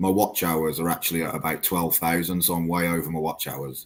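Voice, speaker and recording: The recording is very clean, with a silent background. A man with an English accent speaks at a very deep, low pitch. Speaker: eBay reseller and YouTuber. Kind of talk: casual chat.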